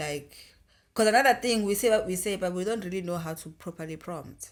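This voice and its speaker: A woman's medium-pitched voice with a South African accent, fairly quick pace, ordinary pitch variation and big swings in loudness, in a very clean recording with a silent background. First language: isiZulu. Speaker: podcast co-host. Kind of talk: casual podcast discussion.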